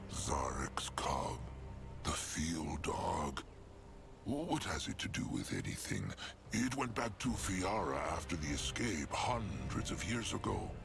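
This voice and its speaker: A man puts on a gruff character voice at a fairly low pitch. He speaks at a fairly slow pace with music in the background. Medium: video game. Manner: speaks of himself in the third person, gruff and formal.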